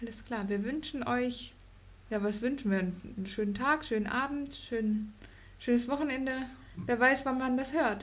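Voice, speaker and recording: A woman with a high voice speaks at a moderate pace with ordinary pitch variation and long, frequent pauses. Room echo is audible. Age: 30s. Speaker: host's wife. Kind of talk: casual chat.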